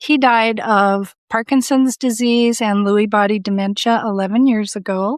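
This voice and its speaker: A normal speaking voice with an American accent moves at a moderate pace, with very even loudness and hardly any pauses. The recording is very clean, with a silent background. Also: woman, fairly high pitch for a woman, fairly even intonation. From Southern California. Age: 60s. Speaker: coaching client. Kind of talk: interview, personal testimony.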